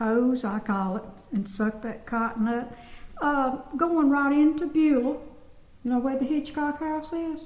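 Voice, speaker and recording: A woman speaks at a fairly slow pace with long, frequent pauses. Her pitch is high, with ordinary variation. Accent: Southern US. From US South, Georgia (Sparta). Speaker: former resident recalling childhood. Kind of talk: oral history interview.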